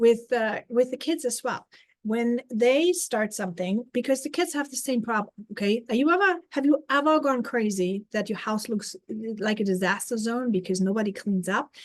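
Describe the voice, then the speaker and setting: In a German accent, a woman speaks at a fairly high pitch and a moderate pace. Her intonation is lively. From Germany. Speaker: life coach. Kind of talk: live stream talk.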